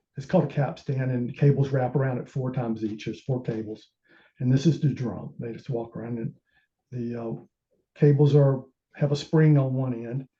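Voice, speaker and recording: A man at medium pitch speaks at a moderate pace with a dark, mellow, somewhat breathy tone and fairly even intonation. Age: 60s. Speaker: amateur telescope maker. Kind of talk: technical presentation. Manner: halting.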